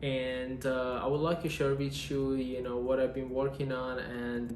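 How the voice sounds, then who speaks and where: Monotone, flat speech with a non-native accent at a moderate pace. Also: man. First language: Persian. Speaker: industrial engineer. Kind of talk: casual vlog talk to camera.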